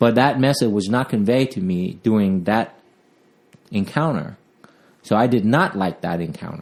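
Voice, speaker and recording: Speaking at a moderate pace and a medium pitch, a man uses lively intonation. He leaves long, frequent pauses. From Vietnam, raised partly in Southern California. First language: Vietnamese. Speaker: police officer. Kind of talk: interview. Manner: halting, with fillers.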